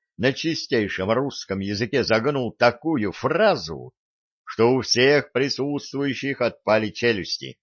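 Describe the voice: The pitch varies in an ordinary way during this plain reading aloud, and the background is quiet.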